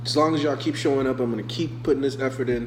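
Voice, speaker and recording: Fairly quick male speech amid audible room echo and noticeable background noise. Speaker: online rap battle league host reviewing entries. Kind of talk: casual commentary review.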